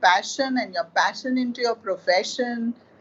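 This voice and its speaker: Her voice is high-pitched, with ordinary pitch variation. This woman keeps a moderate pace over noticeable background noise. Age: 60s. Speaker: artist.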